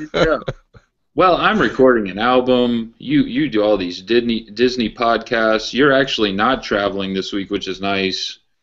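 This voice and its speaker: The man's voice sits at medium pitch and moves with ordinary variation. He talks in a plain, everyday voice, keeping a moderate pace. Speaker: pro wrestling historian, podcast co-host. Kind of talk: casual podcast talk.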